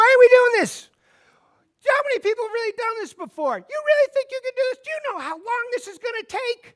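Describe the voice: An extremely high-pitched, whiny, squeaky put-on character voice at a fairly quick pace, whiny in tone.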